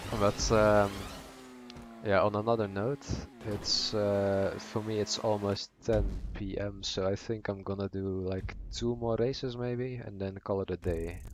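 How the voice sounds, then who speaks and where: Music plays in the background as a man talks. He has a Dutch accent and speaks at a fairly slow pace. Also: fairly low pitch for a man, fairly even intonation. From Netherlands. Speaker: gaming streamer. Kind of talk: live stream chat while gaming. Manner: hesitant, many fillers.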